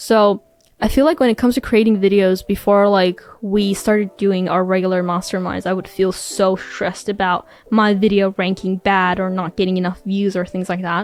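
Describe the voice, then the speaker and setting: A woman with a non-native accent, medium pitch, moderate pace and fairly even intonation. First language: not English. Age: 20s. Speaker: YouTuber and medical student. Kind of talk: casual interview chat.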